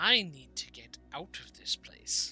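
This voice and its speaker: The voice is a put-on character voice. It moves at a fairly slow pace. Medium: actual play. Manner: polite, hesitant.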